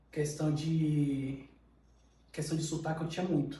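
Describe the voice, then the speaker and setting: Audible room echo surrounds a man whose fairly high voice moves at a moderate pace in a monotone, flat intonation. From Pará, Brazil. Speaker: podcast guest. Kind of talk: casual interview.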